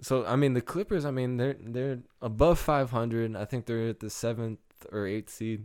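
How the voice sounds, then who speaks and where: A man with an unremarkable speaking voice and an American accent, at medium pitch with ordinary pitch variation. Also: moderate pace. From Michigan. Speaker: podcast co-host. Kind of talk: casual chat.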